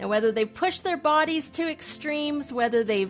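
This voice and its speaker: Over music in the background, a woman speaks at a moderate pace with lively intonation. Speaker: podcast host. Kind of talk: podcast intro.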